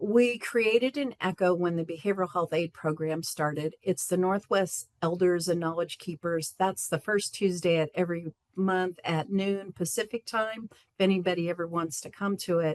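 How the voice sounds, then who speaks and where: A woman with a fairly low pitch and a plain, everyday voice speaks at a moderate pace with ordinary pitch variation and hardly any pauses, recorded dry and close with no echo. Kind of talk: conference presentation.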